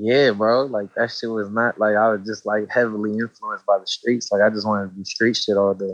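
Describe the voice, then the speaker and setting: Flat, monotone intonation from a man with an American accent, fairly low in pitch and at a fairly quick pace. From Los Angeles, East Hollywood. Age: 20s. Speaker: rapper. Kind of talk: casual interview.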